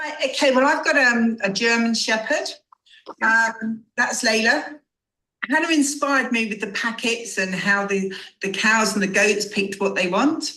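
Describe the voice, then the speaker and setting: With an English accent, a woman talks at a fairly slow pace in a fairly high pitch with ordinary pitch variation, and audible room echo is present. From England. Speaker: customer sharing testimonial. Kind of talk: testimony.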